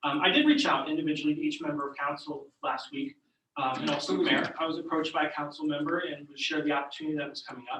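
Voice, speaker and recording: Delivered at a very fast pace, the speech has fairly even intonation and big swings in loudness. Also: man, fairly high pitch for a man. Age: 40s. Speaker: council seat candidate. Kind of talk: public meeting self-introduction. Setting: borough council meeting room at podium. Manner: halting, many fillers.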